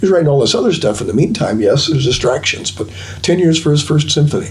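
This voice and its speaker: Noticeable background noise and audible room echo surround a man speaking with an American accent at a fairly high pitch. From Minnesota. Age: 70s. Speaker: double bass player and teacher. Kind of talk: casual interview chat.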